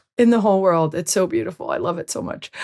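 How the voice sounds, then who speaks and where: An unremarkable speaking voice from a woman with an American accent, medium in pitch with ordinary pitch variation, on a very clean recording against a silent background. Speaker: sports podcast host. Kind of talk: interview podcast.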